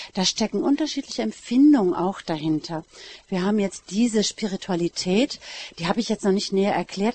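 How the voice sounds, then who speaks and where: A woman's medium-pitched voice with lively intonation, set against noticeable background noise. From Münsterland, Westphalia. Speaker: teacher and lay community member. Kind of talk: panel discussion.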